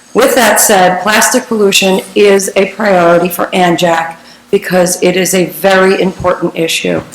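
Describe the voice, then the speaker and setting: A woman's voice with fairly even intonation, very even loudness and a moderate pace, over noticeable background noise. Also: medium pitch for a woman. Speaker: environmental nonprofit director speaking at public comment. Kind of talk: public comment at council meeting. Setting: township council meeting.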